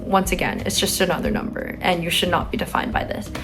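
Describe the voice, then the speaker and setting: A woman's medium-pitched voice, with music in the background and audible room echo. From San Francisco, California. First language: Chinese. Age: young. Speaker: college student vlogger. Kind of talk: advice vlog. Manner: casual with filler words.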